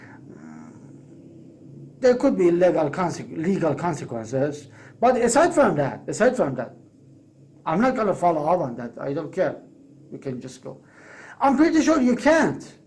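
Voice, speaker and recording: A man with a Persian accent, high-pitched, at a moderate pace, with very wide pitch swings, big swings in loudness, long, frequent pauses and audible room echo. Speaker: English teacher and course creator. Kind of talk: business pitch monologue. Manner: halting, with fillers and self-corrections.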